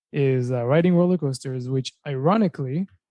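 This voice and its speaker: Against a quiet background with a dry, close sound and no echo, a man with a plain, everyday voice speaks at a moderate pace in a medium pitch with ordinary pitch variation. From Israel, moved to US at twelve. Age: 30s. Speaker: mechanical engineer, wildlife enthusiast. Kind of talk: podcast interview.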